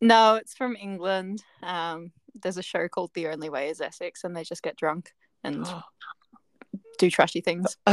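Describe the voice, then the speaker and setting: Speaking with an Australian accent, a woman uses a medium pitch, ordinary pitch variation and a moderate pace. Her loudness swings widely, and the sound is dry and close with no echo. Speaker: podcast guest.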